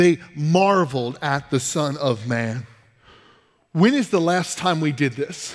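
Against a quiet background, a man with a fairly high pitch speaks at a very slow pace. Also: ordinary pitch variation. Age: 20s. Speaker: pastor. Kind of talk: sermon. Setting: church. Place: church.

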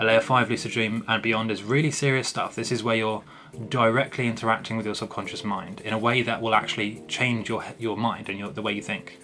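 Light background noise sits behind a man speaking at a fairly quick pace. His intonation stays fairly even. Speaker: lucid dreaming channel host. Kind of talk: tutorial. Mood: earnest, serious. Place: home room. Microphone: webcam.

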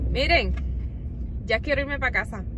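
A woman's voice is heard with a dry sound, no echo and light background noise. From Puerto Rico. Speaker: homemaker vlogger. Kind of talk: casual vlog talk to camera while out shopping. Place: car. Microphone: phone near.

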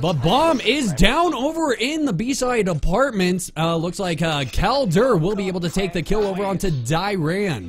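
Speaking at a moderate pace with few pauses, a man uses a high-pitched voice and lively intonation.

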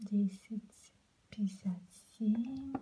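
Someone whispers in a soft-spoken way over light background noise. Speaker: beauty vlogger. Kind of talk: casual product review chat. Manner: soft ASMR whisper, counting prices. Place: home room. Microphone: phone near.

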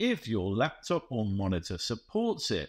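Taking a fairly slow pace, a man delivers his words. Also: quiet background. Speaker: software reviewer. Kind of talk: review commentary. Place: home room.

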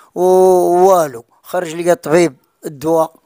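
In a quiet background, a man speaks at a high pitch with fairly even intonation. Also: dry sound with no echo. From Morocco. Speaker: father of missing woman; interviewee. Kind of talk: interview testimony. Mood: distressed, telling family hardship. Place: home room. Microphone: handheld.

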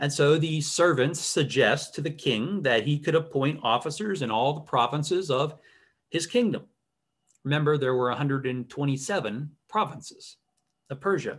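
A man speaks at a fairly slow pace with ordinary pitch variation. His voice is somewhat breathy, and the background is quiet. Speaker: bible study teacher. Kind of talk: lecture. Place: home room. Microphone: webcam.

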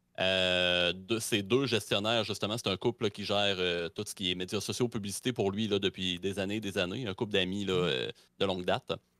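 A man's fairly low voice in a bright, sharp tone at a moderate pace, with ordinary pitch variation, a dry sound with no echo and a quiet background. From Quebec. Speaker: history streamer. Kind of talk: history presentation; casual chat. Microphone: studio mic.

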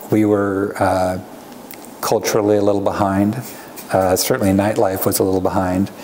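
In an American accent, a man speaks with monotone, flat intonation at a fairly low pitch. Light background noise is present. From Oregon, US (Hillsboro/Beaverton area); Oregon. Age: 50s. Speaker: winery owner; interviewee. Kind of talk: oral history interview. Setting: on location at winery. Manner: hesitant, filler-heavy. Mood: relaxed, reflective. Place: home room.

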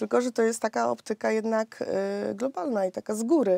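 The voice has a dark, mellow tone, heard against a quiet background with a dry sound and no echo. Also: woman. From Silesia, Poland (Rybnik); Silesia, Poland. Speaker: politician, mayoral candidate; candidate. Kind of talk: radio interview. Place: studio.

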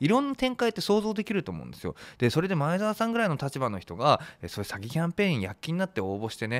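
A man at a very fast pace with very wide pitch swings, against a quiet background. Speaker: online commentator. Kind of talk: commentary. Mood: critical, concerned. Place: studio. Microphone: studio mic.

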